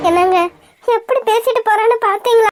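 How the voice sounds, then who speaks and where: A woman uses a cartoonish character voice with an extremely high pitch, fairly even intonation, and a moderate pace, the sound dry and close with no echo. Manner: soft, earnest.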